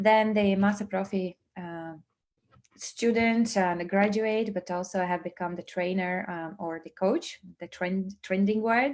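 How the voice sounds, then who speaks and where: A woman with a Latvian accent talks with fairly even intonation while her loudness swings widely. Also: medium pitch for a woman, fairly slow pace. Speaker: business trainer and network marketing presenter. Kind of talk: online presentation. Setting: livestream. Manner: hesitant, many fillers.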